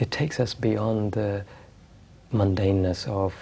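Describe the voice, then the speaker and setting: A soft-spoken man with a calm tone, fairly low pitch, a dark, mellow tone, somewhat breathy delivery and fairly even intonation. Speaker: spiritual teacher. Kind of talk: interview answer. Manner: soft-spoken, calm.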